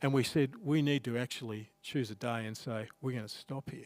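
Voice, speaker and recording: A man speaks at a moderate pace with an Australian accent. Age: 60s. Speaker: pastor. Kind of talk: sermon. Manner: conversational.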